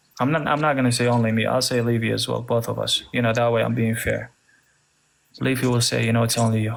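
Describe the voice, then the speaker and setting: With an Arabic accent, a man talks at a very fast pace and very even loudness in a room with audible echo. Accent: Arab. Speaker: religious debater, apologist. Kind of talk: heated debate.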